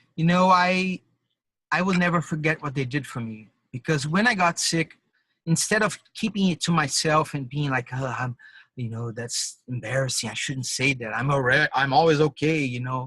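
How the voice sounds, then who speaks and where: A man speaks with a Portuguese accent, his pitch fairly high for a man. His tone is bright and sharp, at a moderate pace with ordinary pitch variation. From Brazil. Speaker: drummer and musician. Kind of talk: interview. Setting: call, videotaped. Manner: halting, with false starts.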